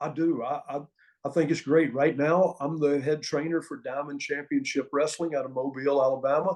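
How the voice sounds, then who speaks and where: The speaker has a Southern US accent and talks at a fairly quick pace. The intonation is fairly even. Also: man, fairly high pitch for a man. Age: 60s. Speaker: former pro wrestling referee and wrestling trainer. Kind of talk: interview storytelling.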